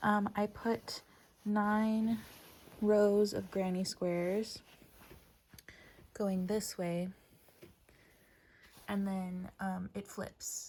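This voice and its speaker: Very slow, somewhat breathy speech with monotone, flat intonation, big swings in loudness and long, frequent pauses. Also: woman. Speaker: crochet vlogger. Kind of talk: casual crafting vlog. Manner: casual with frequent 'um' fillers.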